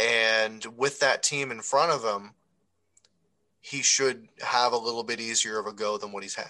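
A man's ordinary speaking voice at a medium pitch, fairly even in intonation and fairly slow in pace. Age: 30s. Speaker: hockey podcast co-host. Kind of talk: casual chat.

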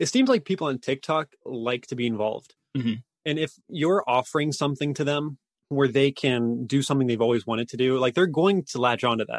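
An unremarkable speaking voice from a man, medium in pitch, fairly quick in pace, with ordinary pitch variation. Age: young. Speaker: indie game developer. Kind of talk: interview.

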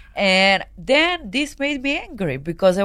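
A woman's medium-pitched voice with a Serbian accent, bright and sharp in tone, with very wide pitch swings on a very clean recording against a silent background. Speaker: adult film performer. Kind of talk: casual interview chat. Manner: halting, limited English; laughs often.

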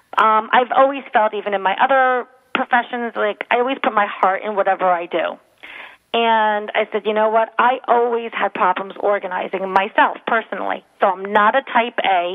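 A woman with an ordinary speaking voice, fairly high pitch, ordinary pitch variation and a moderate pace. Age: 40s. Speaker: professional organizer. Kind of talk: radio interview. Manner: casual, filler-heavy.

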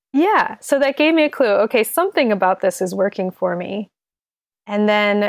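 A woman speaks at a medium pitch and a moderate pace, with lively intonation. The sound is dry and close, with no echo. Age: 30s. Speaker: caller seeking diet coaching. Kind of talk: casual chat. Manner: halting, many fillers.

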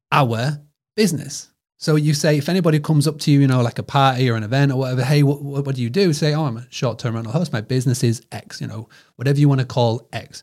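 Somewhat breathy and fairly high in pitch, a man talks with a British accent. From United Kingdom. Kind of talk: casual interview chat.

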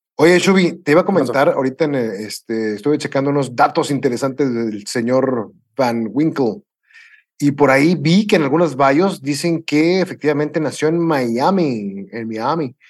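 With a plain, everyday voice, a man of fairly high pitch speaks at a moderate pace using lively intonation. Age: 40s. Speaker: podcast co-host. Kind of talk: casual chat.

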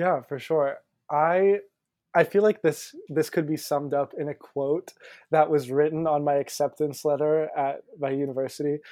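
A dark, mellow tone and an American accent carry fairly even intonation at a moderate pace. The sound is dry and close with no echo against a quiet background. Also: man, fairly high pitch for a man. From US South, Pensacola, Florida. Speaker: musical theater actor. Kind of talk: interview.

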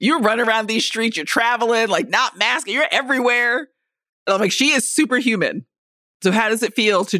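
A woman with a plain, everyday voice, fairly high in pitch, at a moderate pace with very even loudness, on a very clean recording with a silent background. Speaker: podcast co-host. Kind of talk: casual chat. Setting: studio.

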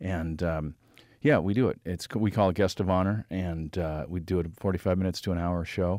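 In an American accent, a man with a very deep, low pitch and a dark, mellow tone speaks with fairly even intonation in a very clean recording with a silent background. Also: fairly quick pace. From southern Michigan and Orange County. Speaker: stand-up comedian. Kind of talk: casual chat. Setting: studio.

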